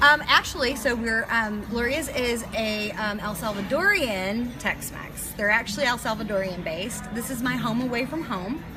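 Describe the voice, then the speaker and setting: A woman's fairly high voice with a slight Texas accent, at a moderate pace with hardly any pauses and ordinary pitch variation, audible room echo, and music in the background. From New York. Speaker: chef. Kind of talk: casual interview. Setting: live stream at a restaurant. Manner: direct, outgoing.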